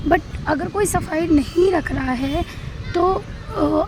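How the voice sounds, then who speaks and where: Noticeable background noise sits behind a woman speaking at an extremely high pitch. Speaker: vlogger. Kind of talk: casual vlog talk. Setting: outdoors on rooftop.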